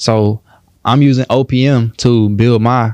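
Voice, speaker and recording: An ordinary speaking voice, recorded dry and close with no echo, with ordinary pitch variation. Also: man. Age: 20s. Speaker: entrepreneur and credit educator. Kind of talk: podcast interview.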